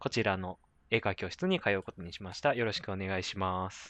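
A man speaks at a fairly quick pace. The sound is dry and close with no echo, and the background is quiet. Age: 20s. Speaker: podcast host. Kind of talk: casual chat.

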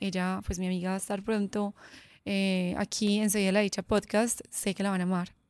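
In a very clean recording with a silent background, a woman with a medium pitch speaks at a fairly quick pace. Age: 30s. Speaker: podcast host and entrepreneur. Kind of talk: solo monologue podcast. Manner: animated.

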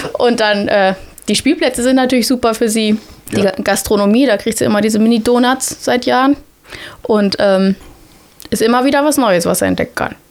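Speaking at a fairly quick pace with long, frequent pauses, a woman keeps her loudness very even, her fairly high pitch showing ordinary variation. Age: 30s. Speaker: primary school teacher. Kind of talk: casual interview.

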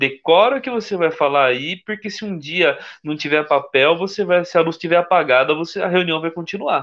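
A man with an ordinary speaking voice, fairly high pitch, lively intonation and a moderate pace. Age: 30s. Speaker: Freemason, corporate employee. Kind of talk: casual live-stream interview.

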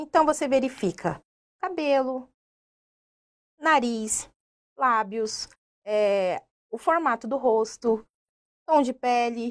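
A woman's high voice, very slow and lively in intonation, with long, frequent pauses, on a very clean recording with a silent background. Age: 30s. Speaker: university professor. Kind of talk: interview. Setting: radio studio.

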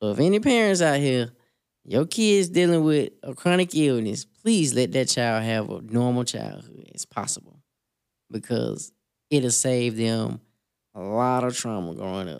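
The recording is very clean, with a silent background. A man at medium pitch speaks at a fairly slow pace with very wide pitch swings. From US South, Selma, Alabama. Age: 30s. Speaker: sickle cell advocate and brand founder. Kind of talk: interview testimony.

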